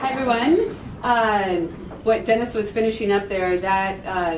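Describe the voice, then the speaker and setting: A woman at a moderate pace with ordinary pitch variation, amid noticeable background noise and audible room echo. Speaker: public commenter at homelessness meeting. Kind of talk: public comment at meeting.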